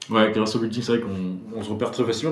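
A man's fairly low pitch, fairly even intonation, and audible room echo. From Brittany, France (Quimper, Finistère). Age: 30s. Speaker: former film student, retail worker. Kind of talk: casual interview, personal testimony. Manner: hesitant, many fillers and repetitions.

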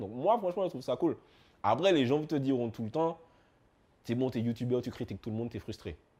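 Talking at a very fast pace, a man with a medium pitch swings it very widely up and down. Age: 30s. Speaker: YouTube music commentator. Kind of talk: interview. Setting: studio.

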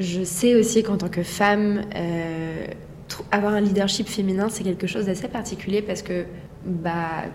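A woman's medium-pitched, monotone, flat voice at a moderate pace, over noticeable background noise. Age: 20s. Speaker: entrepreneur. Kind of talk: interview. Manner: halting.

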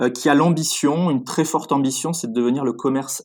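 At a moderate pace, a man speaks in a plain, everyday voice at medium pitch, in a very clean recording with a silent background. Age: 30s. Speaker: food retail entrepreneur. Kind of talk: interview.

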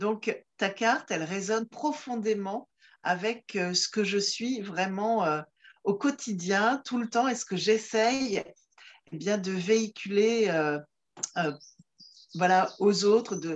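Speaking very slowly, a woman holds a medium pitch with ordinary pitch variation. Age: 50s. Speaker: comedian and laughter yoga facilitator. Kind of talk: casual interview. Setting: video call. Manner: hesitant, many fillers and repetitions. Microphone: distortion from poor rural connection.

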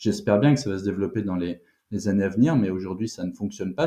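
A man talks at a very fast pace in a fairly low pitch. His tone is dark and mellow, with ordinary pitch variation. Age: 30s. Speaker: startup founder. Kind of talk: interview.

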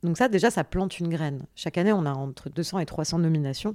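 Lively intonation shapes speech with a dark, mellow tone. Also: woman, very clean recording, silent background. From France, Paris and Béziers region. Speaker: social entrepreneur and activist. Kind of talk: interview conversation.

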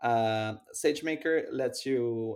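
Recorded very cleanly against a silent background, a man with a Spanish accent speaks at a medium pitch with fairly even intonation. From Mexico. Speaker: AI startup science officer. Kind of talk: interview.

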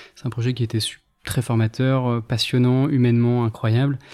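On a very clean recording with a silent background, a man of medium pitch speaks with a dark, mellow tone in a flat monotone. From France, northern Ardèche. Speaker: restaurateur. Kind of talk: interview. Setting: in a restaurant.

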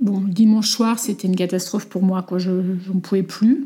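A woman speaks at a fairly slow pace in a dark, mellow tone. Her voice is somewhat breathy, with ordinary pitch variation. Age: 40s. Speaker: mother sharing her story. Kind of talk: testimony.

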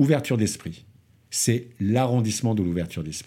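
In a very clean recording with a silent background, a man with a dark, mellow tone talks at a moderate pace with lively intonation. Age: 50s. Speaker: entrepreneur. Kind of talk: interview answers.

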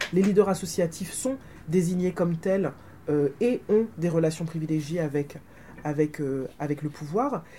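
At a moderate pace, a woman uses a normal speaking voice, fairly low in pitch with ordinary pitch variation. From Martinique. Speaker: academic author. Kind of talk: book talk interview.

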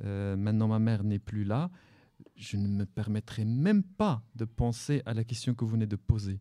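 A man with an Arabic accent, medium pitch, a dark, mellow tone, ordinary pitch variation and a fairly slow pace. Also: very clean recording, silent background. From Morocco, Salé. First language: Arabic (speaking French). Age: 40s. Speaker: novelist. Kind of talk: live radio interview. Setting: library with audience.

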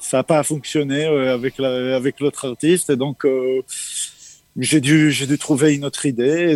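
At a fairly slow pace, a man speaks with a fairly high pitch and monotone, flat intonation. The sound is dry and close with no echo. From Israel. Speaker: musician. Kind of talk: interview. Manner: halting, repeats words.

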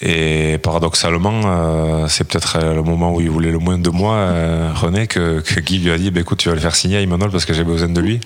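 A man's very deep, low voice, flat and monotone, fairly quick, at a very even loudness over noticeable background noise. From French Basque Country. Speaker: retired rugby player. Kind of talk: interview. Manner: halting, many hesitations.

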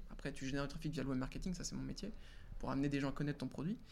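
Vocal fry marks a man's fairly high voice, which has ordinary pitch variation. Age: 20s. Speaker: freelance web marketer. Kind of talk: casual interview. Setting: live stream with chat.

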